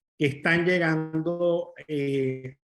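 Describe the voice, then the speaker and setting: A man talks in a plain, everyday voice. His pitch is fairly high, with fairly even intonation. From Venezuela. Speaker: commercial real estate advisor. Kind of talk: webinar presentation.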